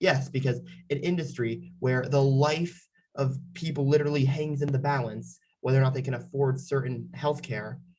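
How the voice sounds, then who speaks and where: Breathing somewhat audibly into audible room echo, a man with a fairly high voice speaks at a moderate pace with fairly even intonation. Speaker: political commentary youtuber. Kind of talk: reaction commentary. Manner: sarcastic.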